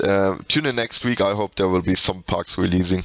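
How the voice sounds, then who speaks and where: Fairly low male voice at a moderate pace with ordinary pitch variation, dry and close with no echo, over noticeable background noise. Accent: German. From Germany. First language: German. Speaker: video game reviewer / podcast host. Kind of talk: casual video game review commentary. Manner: halting, many repetitions and fillers.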